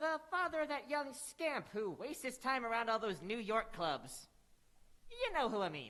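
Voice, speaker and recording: A female-sounding, put-on character voice is heard. It has a fairly high pitch and a moderate pace. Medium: stage play. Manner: gruff, cackling, eccentric.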